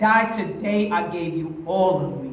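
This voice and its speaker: A man speaks over noticeable background noise. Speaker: spoken word poet. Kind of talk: slam poetry performance. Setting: live venue.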